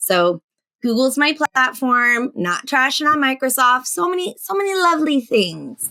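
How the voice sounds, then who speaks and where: A woman's high, raised, projected voice with a General American accent, bright and sharp in tone, fairly slow, animated, with very wide pitch swings. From Alaska, US. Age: 40s. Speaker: teacher and edtech expert. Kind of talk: podcast interview. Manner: animated, chatty with many restarts.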